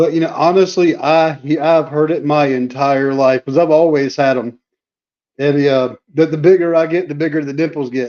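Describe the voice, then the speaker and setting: Speaking at a moderate pace with fairly even intonation, a man with an American accent has a fairly high pitch and a dark, mellow tone. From North Carolina. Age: 40s. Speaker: stream guest. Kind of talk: casual chat.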